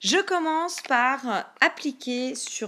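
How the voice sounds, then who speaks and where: The recording is very clean, with a silent background. The woman's tone is bright and sharp. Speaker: beauty youtuber. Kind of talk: makeup tutorial voiceover.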